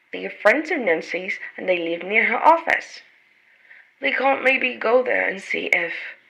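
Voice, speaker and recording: A woman's voice with very wide pitch swings at a moderate pace, over noticeable background noise. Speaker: audiobook narrator. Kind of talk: reading aloud.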